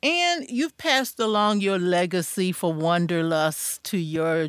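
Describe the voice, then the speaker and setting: Over a silent background in a very clean recording, a woman speaks slowly in an unremarkable speaking voice with lively intonation. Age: 60s. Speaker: podcast host. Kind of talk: interview.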